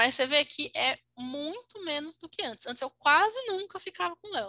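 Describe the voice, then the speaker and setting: A woman's raised, projected voice, bright and sharp in tone, with very wide pitch swings, a moderate pace, and a dry, close sound with no echo. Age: 20s. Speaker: podcast co-host. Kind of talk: casual chat.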